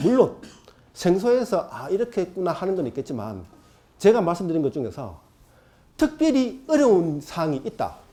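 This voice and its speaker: A man with a high pitch and a dark, mellow tone swings very widely in pitch as he talks. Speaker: exam prep lecturer. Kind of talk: lecture. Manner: fast.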